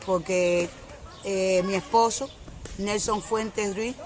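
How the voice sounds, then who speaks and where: A woman speaks in a Cuban accent at medium pitch, her intonation fairly even and her pace fairly slow. Noticeable background noise can be heard. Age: 60s. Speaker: widowed mother giving testimony. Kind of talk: testimony. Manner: halting, with frequent fillers.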